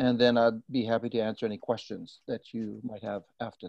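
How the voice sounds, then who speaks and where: A man talks at a fairly quick pace with a Hawaiian accent and a medium pitch. His delivery is monotone and flat, and the sound is dry and close, with no echo. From Hawaii, Big Island. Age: 60s. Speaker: attorney. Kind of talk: guest presentation.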